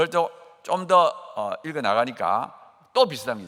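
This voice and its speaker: A man's bright, sharp voice with vocal fry, very wide pitch swings and a very fast pace. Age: 60s. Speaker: professor and guest preacher. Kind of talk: sermon with personal testimony. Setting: church dawn service. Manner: animated.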